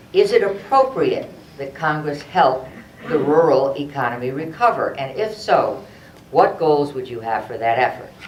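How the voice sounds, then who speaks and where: Noticeable background noise sits behind words spoken at a moderate pace. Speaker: forum moderator. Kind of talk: reading questions. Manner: loud.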